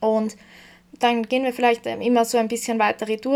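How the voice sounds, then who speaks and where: The intonation stays monotone and flat. The speech comes in an Austrian accent. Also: woman. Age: 20s. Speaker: podcast host, self-development coach. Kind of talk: personal monologue.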